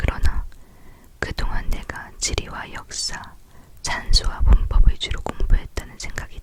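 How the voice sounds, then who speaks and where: Through noticeable background noise comes a fairly slow whisper. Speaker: ASMR creator. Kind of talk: read story, book reading. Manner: soft-spoken.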